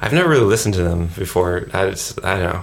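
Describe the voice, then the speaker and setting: Over noticeable background noise, a man with a very deep, low voice and an American accent talks at a very fast pace. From US. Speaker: rock guitarist. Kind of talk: casual interview.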